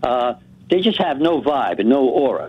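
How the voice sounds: With big pitch swings and a slightly husky edge, a man speaks at a medium pitch and a moderate pace.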